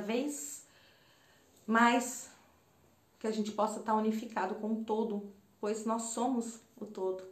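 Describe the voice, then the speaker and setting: A woman talks at a fairly slow pace in a fairly high, somewhat breathy voice. Her intonation is fairly even, and there is audible room echo. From Brazil, Campinas, São Paulo state; São Paulo state, Brazil. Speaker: holistic therapist and spiritual mentor. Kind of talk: personal storytelling monologue to camera; reflective spiritual talk. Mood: calm, heartfelt. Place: home room. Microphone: phone near.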